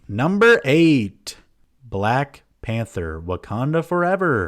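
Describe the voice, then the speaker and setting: On a very clean recording with a silent background, a man's pitch swings very widely. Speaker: movie list youtuber. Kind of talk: casual video commentary.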